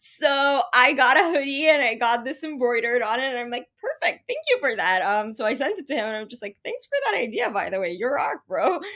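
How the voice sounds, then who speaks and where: A woman with a high pitch talks at a fairly quick pace, her lively intonation paired with big swings in loudness. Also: hardly any pauses. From Saudi Arabia. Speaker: content writer. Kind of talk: interview.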